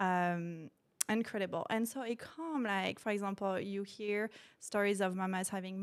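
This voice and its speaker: A woman at medium pitch with a slight French accent, fairly slow pace, very clean recording and silent background. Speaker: postpartum doula and sophrology practitioner. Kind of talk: podcast interview. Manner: hesitant, many fillers.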